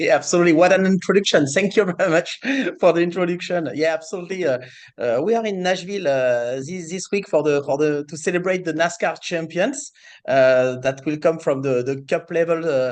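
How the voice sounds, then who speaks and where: Against a quiet background, a man with a French accent talks at a fairly quick pace in a high pitch with ordinary pitch variation. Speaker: racing series executive. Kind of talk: interview. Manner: hesitant, many fillers.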